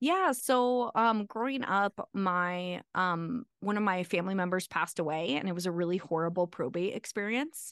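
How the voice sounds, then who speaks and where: A woman's unremarkable speaking voice in a General American accent, moderate in pace with hardly any pauses and very even loudness, in a dry, close sound with no echo over a quiet background. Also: medium pitch for a woman, lively intonation. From Arizona. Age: 40s. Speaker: attorney. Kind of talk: interview.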